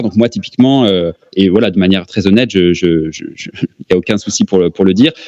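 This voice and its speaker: A man with a fairly low pitch and ordinary pitch variation, talking at a very fast pace. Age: 30s. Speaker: real estate investor. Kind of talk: interview. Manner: hesitant, many fillers.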